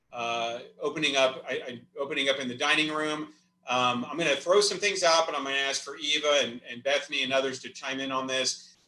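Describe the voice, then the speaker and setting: Audible room echo surrounds a man speaking at a fairly quick pace. His pitch is fairly high, with ordinary variation. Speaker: senior living community executive. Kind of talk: virtual town hall presentation. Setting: video call. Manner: fast.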